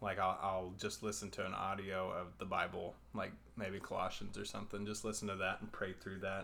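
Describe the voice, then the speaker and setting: Speaking with a Texan accent, a man uses a fairly low voice with vocal fry and monotone, flat intonation at a fairly quick pace. Audible room echo surrounds him. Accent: Texan American. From Texas, Abilene. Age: 20s. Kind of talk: casual chat.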